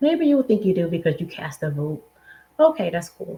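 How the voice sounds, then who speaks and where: A somewhat breathy woman with an American accent, dark and mellow in tone, medium in pitch, at a moderate pace. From Philadelphia, US. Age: 40s. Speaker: money mindset coach. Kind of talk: motivational talk.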